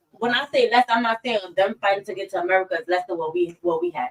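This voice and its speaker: A woman speaks loudly at a very fast pace, her tone animated. The sound is dry and close with no echo. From US. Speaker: podcast co-host. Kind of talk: casual chat.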